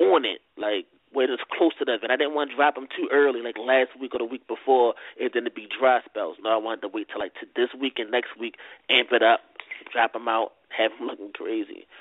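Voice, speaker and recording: A man with a strong Baltimore accent speaks fairly quickly at a medium pitch with fairly even intonation. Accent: thick Baltimore. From Baltimore, Maryland (inner city). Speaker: battle rapper. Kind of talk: casual interview. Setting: phone call. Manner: needs to project more, not loud.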